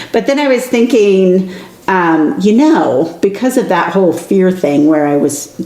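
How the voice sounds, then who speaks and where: A woman at a fairly slow pace with lively intonation, audible room echo and noticeable background noise. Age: 50s. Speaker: podcast co-host, aspiring writer. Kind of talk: casual chat.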